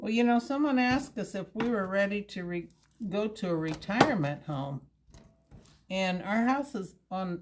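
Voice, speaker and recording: Here a woman speaks at medium pitch with lively intonation. Her voice is somewhat breathy and her pace fairly slow. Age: 70s. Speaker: cooking show host. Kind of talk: cooking demonstration. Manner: casual.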